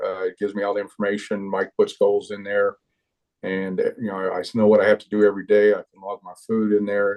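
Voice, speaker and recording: Here a man talks in an ordinary speaking voice at a fairly quick pace. His pitch is fairly low and his intonation fairly even. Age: 60s. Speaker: oil field manager, fitness client. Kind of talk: testimony.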